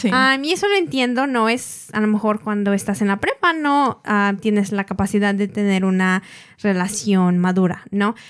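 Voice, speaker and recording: A woman with an unremarkable speaking voice talks at a moderate pace in a medium pitch, with ordinary pitch variation and very even loudness. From grew up in the US, Mexican family. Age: 20s. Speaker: engaged partner in intercultural couple. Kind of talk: casual interview.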